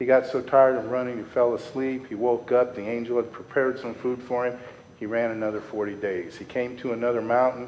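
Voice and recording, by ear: The voice reads aloud in a natural voice with fairly even intonation.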